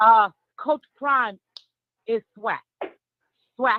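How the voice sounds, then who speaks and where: In a New York accent, a woman speaks at a fairly high pitch with lively intonation. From New York, Harlem. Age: 40s. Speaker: caller. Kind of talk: call-in chat.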